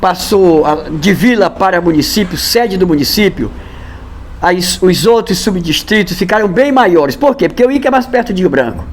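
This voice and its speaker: A man speaks at a moderate pace in a high pitch with lively intonation. Noticeable background noise can be heard. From Acre, Brazil (Porto Acre). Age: 60s. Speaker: local elderly resident. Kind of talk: interview, reminiscing. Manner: halting, with self-corrections.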